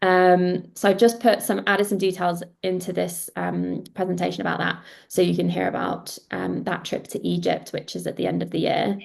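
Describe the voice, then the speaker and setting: Against a quiet background, the speaker talks at a moderate pace in a British accent. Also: woman. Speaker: founder of golf events company presenting webinar. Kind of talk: webinar presentation. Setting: video call webinar with screen share.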